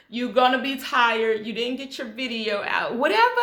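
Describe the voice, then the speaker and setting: In a room with audible echo, a woman talks in a high pitch. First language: Hebrew. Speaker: YouTuber. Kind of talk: motivational vlog talk.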